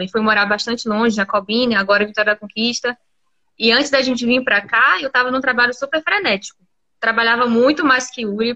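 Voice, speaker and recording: A woman's high pitch and bright, sharp tone come at a fairly quick pace with fairly even intonation. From Camaçari, Bahia, Brazil. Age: 20s. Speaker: entrepreneur and mother. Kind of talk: casual chat. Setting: Instagram live stream.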